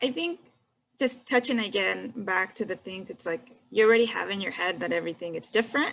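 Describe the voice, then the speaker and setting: A woman talks at a moderate pace with ordinary pitch variation. Her loudness swings widely. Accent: Spanish. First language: Spanish. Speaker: engineer, panelist. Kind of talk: panel discussion. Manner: casual.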